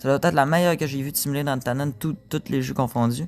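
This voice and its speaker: Pitched fairly high with ordinary variation, a man talks at a very fast pace. The recording is very clean, with a silent background. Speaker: gaming YouTuber. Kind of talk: gameplay commentary. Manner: casual.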